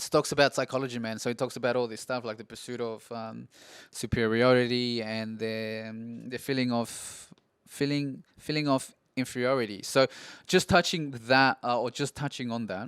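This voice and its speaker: A man with an Australian accent and a medium pitch speaks with fairly even intonation and big swings in loudness, in a very clean recording with a silent background. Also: moderate pace. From Peru, moved to Australia at 7 or 8. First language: Spanish. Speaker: podcaster. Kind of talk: casual monologue podcast. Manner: halting, many fillers and restarts.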